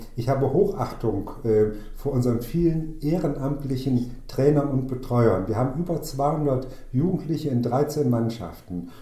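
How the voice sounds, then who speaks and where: Audible room echo around a medium-pitched male voice with ordinary pitch variation. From northern Hesse, Germany (Waldeck-Frankenberg district). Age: 60s. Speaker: amateur football club chairman and former mayor. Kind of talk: interview conversation. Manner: hesitant, with frequent fillers.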